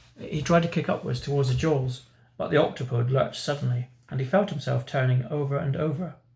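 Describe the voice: Simply plain reading aloud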